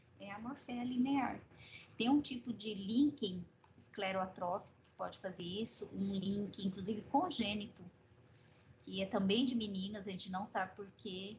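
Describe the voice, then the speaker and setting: Her somewhat breathy voice shows ordinary pitch variation, and audible room echo surrounds this woman as she speaks. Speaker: medical professor. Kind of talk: lecture.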